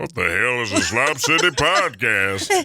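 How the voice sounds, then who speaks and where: A man puts on a character voice. His pitch is medium and his pace moderate. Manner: gruff, irritated.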